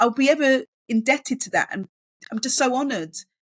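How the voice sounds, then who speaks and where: This woman talks at a fairly quick pace with a London accent. Her high pitch moves in very wide swings. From East London. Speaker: author and education professional. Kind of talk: podcast interview. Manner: halting.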